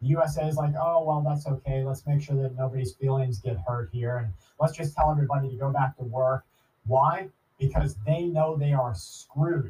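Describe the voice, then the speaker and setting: A man speaks at a moderate pace with a fairly high pitch and ordinary pitch variation. His tone is dark and mellow, and somewhat breathy. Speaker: prepper podcast host. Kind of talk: monologue commentary. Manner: earnest, emphatic.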